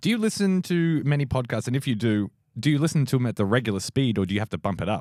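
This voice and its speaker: In a very clean recording with a silent background and a dry, close sound with no echo, a man with an Australian accent talks at a very fast pace at a medium pitch, using very wide pitch swings. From Australia, Melbourne. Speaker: comedian. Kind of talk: casual chat.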